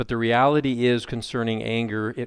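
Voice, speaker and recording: A man is speaking. His pitch is medium. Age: 50s. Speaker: pastor. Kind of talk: sermon. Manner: animated.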